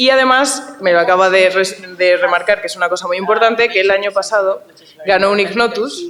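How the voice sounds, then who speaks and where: Fairly quick speech from a woman at medium pitch with ordinary pitch variation, against noticeable background noise. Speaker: panel moderator. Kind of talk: panel discussion. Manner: fast; animated.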